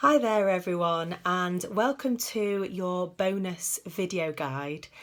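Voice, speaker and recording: A woman with a British accent speaks at a very slow pace, using ordinary pitch variation. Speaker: psychologist. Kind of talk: tutorial. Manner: hesitant, many fillers.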